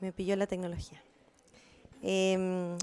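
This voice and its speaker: Here a woman is speaking. Her tone is dark and mellow. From Chile, Valparaíso; Chile. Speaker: researcher; presenter. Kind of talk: conference talk. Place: meeting room. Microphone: handheld.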